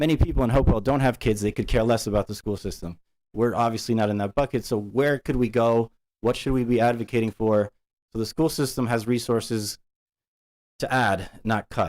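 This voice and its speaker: Speaking at a fairly quick pace with fairly even intonation, a man comes through a very clean recording with a silent background and a dry, close sound with no echo. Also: medium pitch for a man. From immigrant, grew up partly in US. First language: not English. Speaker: parent speaking at public comment. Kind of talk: public comment at school board meeting. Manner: halting, many fillers.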